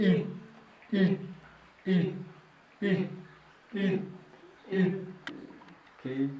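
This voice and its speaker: In a cartoonish character voice, a man speaks at a very slow pace and high pitch, with long, frequent pauses and a slight echo. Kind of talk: children's puppet show. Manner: playful, upbeat.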